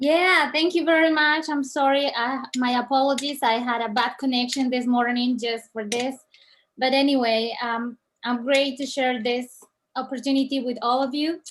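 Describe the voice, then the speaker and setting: The woman's voice is high in pitch. She speaks at a moderate pace. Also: fairly even intonation. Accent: Colombian. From Colombia. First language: Spanish. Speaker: network marketing distributor. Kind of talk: reading aloud.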